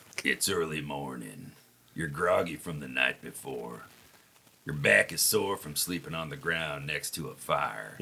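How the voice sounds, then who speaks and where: In a raspy, put-on character voice, the speaker moves at a moderate pace. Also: man, very deep, low pitch for a man. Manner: dramatic, theatrical.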